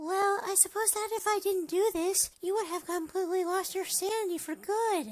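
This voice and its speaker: A put-on character voice, squeaky and extremely high in pitch, moves at a moderate pace with hardly any pauses. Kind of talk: fan voice acting. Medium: machinima.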